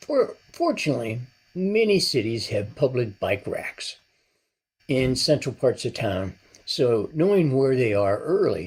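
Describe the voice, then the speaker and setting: A man's medium-pitched, somewhat breathy voice at a fairly slow pace, with very wide pitch swings. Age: 70s. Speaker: retired cyclist vlogger. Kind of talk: scripted narration.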